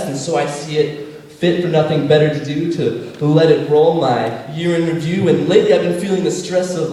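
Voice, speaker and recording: Fairly high-pitched man at a fairly quick pace, with noticeable background noise. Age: young. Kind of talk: poetry slam performance. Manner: fast.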